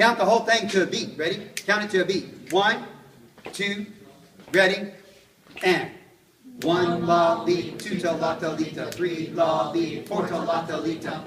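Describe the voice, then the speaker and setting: The speech moves at a fairly slow pace with fairly even intonation and long, frequent pauses. Audible room echo and noticeable background noise are present. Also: man, high pitch for a man. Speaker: music teacher. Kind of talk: classroom lesson.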